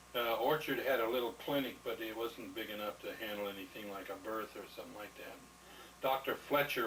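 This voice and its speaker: Over noticeable background noise, a man with an American accent talks at a fairly quick pace in a medium pitch, his intonation fairly even and his loudness swinging widely. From Nebraska. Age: 60s. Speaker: war veteran. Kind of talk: oral history interview. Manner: halting.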